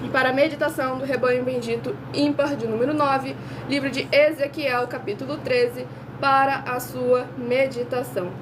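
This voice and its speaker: At a moderate pace, the voice comes through noticeable background noise and audible room echo. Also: woman. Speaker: online preacher. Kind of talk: sermon.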